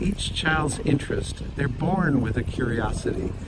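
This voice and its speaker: Male speech with audible room echo and noticeable noise in the background. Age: 70s. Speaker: environmental commentator / elder. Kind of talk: casual monologue vlog. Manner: reflective, with filler hesitations.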